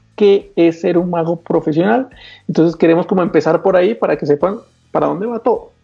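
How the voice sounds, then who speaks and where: High-pitched man at a moderate pace with ordinary pitch variation, music in the background. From Colombia. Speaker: magician and channel host. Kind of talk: casual chat.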